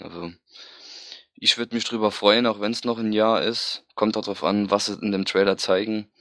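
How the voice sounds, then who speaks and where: A man's fairly low voice carries a bright, sharp tone and ordinary pitch variation. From Saarland, near Saarbrücken. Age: 20s. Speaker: fan forum member, podcast guest. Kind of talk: casual chat.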